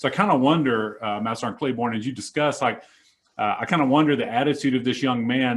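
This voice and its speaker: Pitch variation stays ordinary. The man talks very fast. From Mississippi. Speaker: Air Force senior NCO, discussion host. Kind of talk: panel discussion. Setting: room with a small group, mics.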